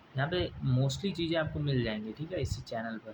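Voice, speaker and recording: The man's voice is somewhat breathy. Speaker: exam coaching YouTuber. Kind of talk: casual tutorial talk to viewers. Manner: halting.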